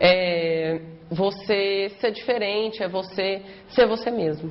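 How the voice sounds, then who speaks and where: A woman speaks at a very slow pace in a medium-pitched voice with ordinary pitch variation. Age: 20s. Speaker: law student. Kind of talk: documentary interview.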